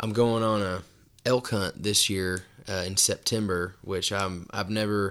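A plain, everyday voice from a man, fairly low in pitch with fairly even intonation, on a very clean recording with a silent background. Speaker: country singer. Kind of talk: casual chat. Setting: studio.

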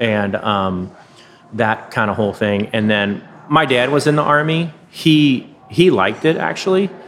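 Noticeable noise fills the background. Over it, a man talks fairly slowly. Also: medium pitch for a man, lively intonation. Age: 50s. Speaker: record store owner. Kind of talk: casual interview chat. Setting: cafe back room.

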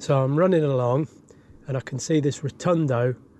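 A man's medium-pitched, dark, mellow voice with fairly even intonation. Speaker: truck driver.

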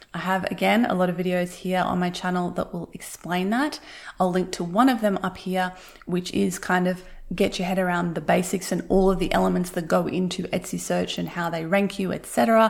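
Her pitch is medium. This woman speaks with fairly even intonation. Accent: Australian. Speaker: podcast host, handmade business coach. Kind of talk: tutorial. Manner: fast.

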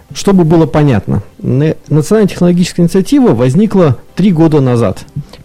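A man's pitch swings very widely as noticeable background noise plays underneath. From Irkutsk region, Russia. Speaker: business club co-chair. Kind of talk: radio panel discussion. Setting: radio studio.

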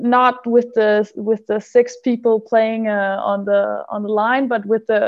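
A woman speaks at a fairly slow pace in a fairly high voice. Her intonation stays flat and monotone. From Denmark. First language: Danish. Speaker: handball player. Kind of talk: interview. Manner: halting.

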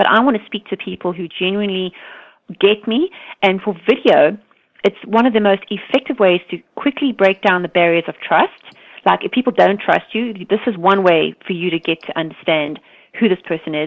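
Medium pitch from a woman, with ordinary pitch variation. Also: moderate pace.

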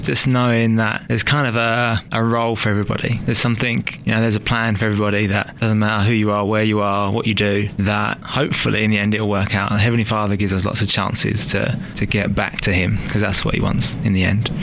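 Over noticeable background noise, a man rattles along at a very fast pace with hardly any pauses, his fairly low voice monotone and flat and his loudness very even. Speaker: listener guest.

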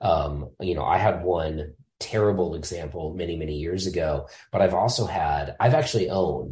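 A man's very deep, low voice, dark and mellow in tone and somewhat breathy, at a moderate pace with ordinary pitch variation. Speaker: firearms industry employee. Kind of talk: casual interview.

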